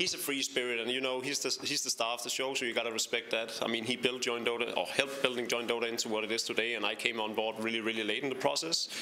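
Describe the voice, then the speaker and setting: A man's very fast, flat, monotone delivery at a medium pitch with hardly any pauses, over noticeable background noise. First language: not English. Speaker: esports analyst and caster. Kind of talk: interview. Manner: halting, many fillers and repeats.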